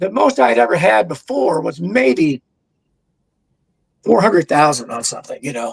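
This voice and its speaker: With an American accent, a man speaks at a fairly high pitch and a moderate pace, using very wide pitch swings and long, frequent pauses. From Kentucky, US South. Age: 60s. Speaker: drum educator. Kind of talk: interview.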